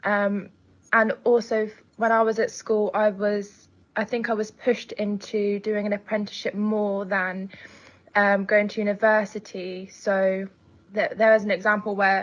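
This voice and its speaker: Over a quiet background, a woman speaks with an English accent at a medium pitch. Her pace is moderate and her intonation monotone and flat. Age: 20s. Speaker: care leaver and student. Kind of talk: testimony. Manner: halting, with many fillers.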